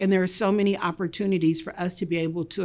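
A woman with an American accent talks with ordinary pitch variation. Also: quiet background. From Kansas City, Missouri (east side); Missouri. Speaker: public health researcher and program leader. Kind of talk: interview. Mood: calm, earnest. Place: office.

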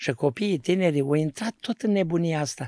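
A man speaks with lively intonation and a dark, mellow tone. The background is quiet. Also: dry sound with no echo. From Romania, Neamț county (Moldavia); Romania. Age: 60s. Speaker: pastor. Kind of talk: testimony. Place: studio. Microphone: studio mic.

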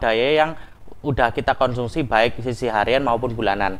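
This man talks with ordinary pitch variation. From East Java, Malang; East Java, Indonesia. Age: 20s. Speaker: electrical engineer; presenter. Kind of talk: educational presentation. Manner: halting, many fillers.

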